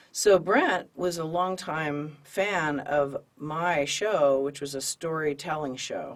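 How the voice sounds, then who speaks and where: The speech comes at a very slow pace with hardly any pauses, over noticeable background noise. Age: 60s. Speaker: storytelling show host, interviewer. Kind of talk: casual interview.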